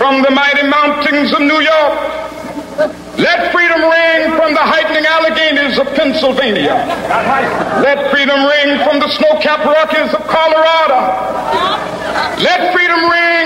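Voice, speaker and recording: Amid audible room echo and noticeable background noise, a man speaks at a moderate pace. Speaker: civil rights leader and Baptist minister giving a public speech. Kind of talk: oratory, public speech to a crowd. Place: stage.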